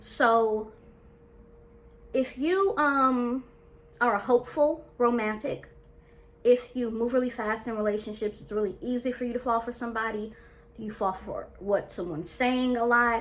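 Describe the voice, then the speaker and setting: Long, frequent pauses break up an animated tone with ordinary pitch variation, set against noticeable background noise. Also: woman, high pitch for a woman, moderate pace. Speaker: dating and life coach. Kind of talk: casual vlog talk to camera.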